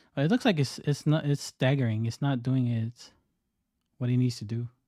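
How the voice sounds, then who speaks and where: A man speaks quietly at a moderate pace in a dark, mellow tone. The sound is dry and close with no echo. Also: medium pitch for a man, fairly even intonation. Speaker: day trader streamer. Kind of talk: live trading commentary. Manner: halting.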